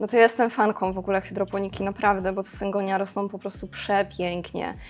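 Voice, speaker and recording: A woman speaks at a fairly quick pace in a plain, everyday voice of medium pitch. The recording is very clean, with a silent background. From Poland, Karkonosze mountains (Szklarska Poręba). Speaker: plant caretaker at a plant shop warehouse. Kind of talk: casual chat. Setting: shop warehouse.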